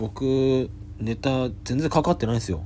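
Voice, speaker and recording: A man talks at a fairly slow pace. His voice sits at a medium pitch with a dark, mellow tone. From Japan, Yamagata. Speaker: comedian. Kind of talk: solo podcast monologue. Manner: hesitant, many fillers.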